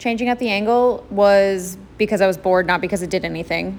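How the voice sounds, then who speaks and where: At a medium pitch, a woman talks in an ordinary speaking voice. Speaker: crafter narrating her tutorial. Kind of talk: voiceover narration of a tutorial.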